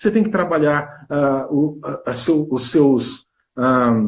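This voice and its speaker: A fairly high, somewhat breathy male voice. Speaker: health and weight-loss coach. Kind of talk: interview on a live stream. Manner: fast; animated.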